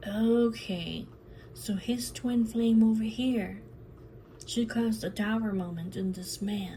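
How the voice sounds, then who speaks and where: A somewhat breathy woman's voice, fairly high in pitch, at a very slow pace with fairly even intonation and audible room echo. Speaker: tarot reader. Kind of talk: tarot reading monologue. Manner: repetitive, chatty.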